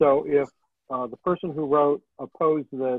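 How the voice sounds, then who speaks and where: At a moderate pace, a man speaks with ordinary pitch variation, the sound dry with no echo and the background quiet. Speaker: city planning staff running the meeting. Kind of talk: public meeting. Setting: video call. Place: home room. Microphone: video call.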